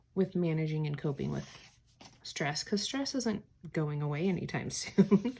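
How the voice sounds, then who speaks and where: Quiet and somewhat breathy, a woman speaks at a fairly low pitch with lively intonation. The recording is very clean, with a silent background. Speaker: teacher and planner vlogger. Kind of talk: casual plan-with-me tutorial.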